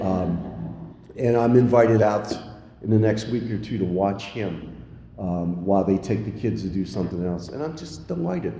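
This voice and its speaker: A man with an American accent, fairly low pitch and moderate pace, against noticeable background noise and audible room echo. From Pennsylvania. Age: 60s. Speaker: recovering alcoholic speaker at AA meeting. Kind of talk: recovery meeting share.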